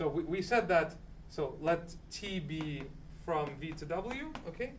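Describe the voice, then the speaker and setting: Speaking loudly at a very slow pace, a man with a high voice uses ordinary pitch variation, and audible room echo surrounds him. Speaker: student presenter in math study group. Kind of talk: lecture. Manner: halting.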